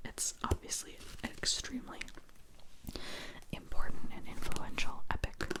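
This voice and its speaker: A woman whispers at a moderate pace, with long, frequent pauses. Noticeable background noise is present. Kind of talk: ASMR whispered book chat. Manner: whispered, soft, rambling.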